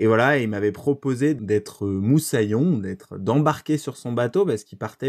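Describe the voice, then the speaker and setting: A man at a medium pitch and a fairly quick pace, on a very clean recording with a silent background. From France, Brittany (Lorient). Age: 30s. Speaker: eco-adventurer. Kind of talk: interview. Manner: hesitant with many fillers.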